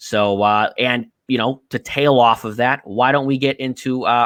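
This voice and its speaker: Recorded very cleanly with a silent background and a dry, close sound with no echo, a man speaks with a bright, sharp tone, medium pitch, and ordinary pitch variation. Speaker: sports betting podcast host. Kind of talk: casual chat. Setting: live stream.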